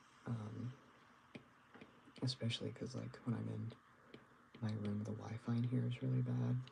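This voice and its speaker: Pausing long and often, a man speaks at a moderate pace in a fairly low pitch that swings very widely. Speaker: artist livestreamer. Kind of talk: casual livestream chat while drawing. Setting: livestream from bedroom. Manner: quiet at start of stream; hesitant, many fillers.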